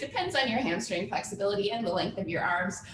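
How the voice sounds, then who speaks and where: A raised, projected voice carries an upbeat tone with very wide pitch swings. Noticeable background noise and audible room echo fill the recording. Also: woman. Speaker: fitness instructor. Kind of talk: live online workout class. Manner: upbeat, encouraging.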